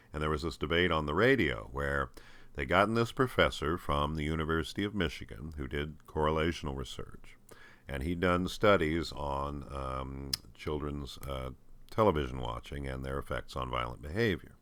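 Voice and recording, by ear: This man's voice sits extremely low in pitch, with a fairly bright tone and ordinary pitch variation. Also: moderate pace.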